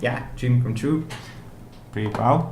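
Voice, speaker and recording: Ordinary pitch variation in a Hungarian accent, with audible room echo and noticeable background noise. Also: man. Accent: non-native, Hungarian. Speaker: indie game developer, vlogger. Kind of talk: video blog. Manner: halting, many fillers.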